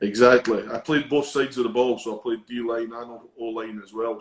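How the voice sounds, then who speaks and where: Very fast speech from a man of medium pitch. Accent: Scottish. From Scotland, Edinburgh. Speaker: judo coach. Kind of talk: interview.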